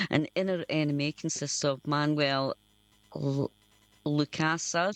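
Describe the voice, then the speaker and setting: A woman with a Scottish accent speaks at a fairly slow pace in a monotone, flat delivery. Her very deep, low voice has a dry, close sound with no echo. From Scotland. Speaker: community radio host. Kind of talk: radio presenting, reading band bio. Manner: halting, stumbles over names.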